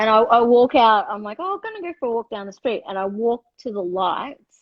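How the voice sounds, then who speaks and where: A woman with an Australian accent speaks fairly quickly at a fairly high pitch. Her intonation is lively and her loudness swings widely. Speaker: livestream host. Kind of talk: casual chat. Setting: live video stream.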